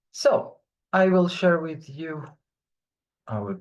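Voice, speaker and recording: In a room with audible echo, a man speaks very slowly at a high pitch with lively intonation. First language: French. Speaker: online French teacher. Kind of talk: online class lecture.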